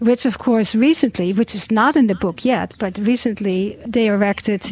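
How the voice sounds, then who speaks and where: A woman talks in an ordinary speaking voice. Her pitch is medium, with ordinary variation. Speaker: radio host. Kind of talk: radio interview. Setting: studio.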